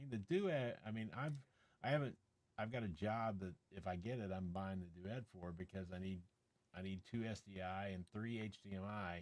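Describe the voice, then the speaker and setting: A man with an ordinary speaking voice talks at a moderate pace, his fairly low pitch showing ordinary variation. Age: 60s. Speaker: tech reviewer and live streamer. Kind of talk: casual chat. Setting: live stream.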